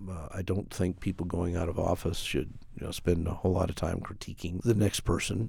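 On a very clean recording with a silent background, a man with a General American accent speaks in a very deep, low, dark and mellow voice that is somewhat breathy. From Colorado. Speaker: mayor. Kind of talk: interview.

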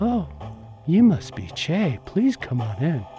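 Using a put-on character voice, a man speaks breathily at a fairly slow pace and fairly high pitch, with very wide pitch swings over clear background noise. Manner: welcoming.

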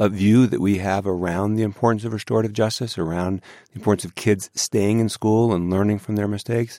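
This man has a normal speaking voice. He goes at a moderate pace. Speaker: school district superintendent. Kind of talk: radio interview.

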